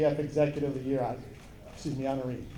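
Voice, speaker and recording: With a Wisconsin accent, a man talks very fast in a monotone, flat delivery, over noticeable background noise and audible room echo. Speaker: baseball consultant and coach. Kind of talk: award introduction speech. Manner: halting, repeats phrases.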